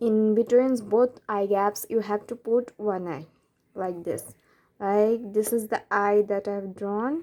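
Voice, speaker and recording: A woman's medium-pitched, dark and mellow voice with a non-native accent, very slow and fairly even in intonation. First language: not English. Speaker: art tutorial creator. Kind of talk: drawing tutorial narration.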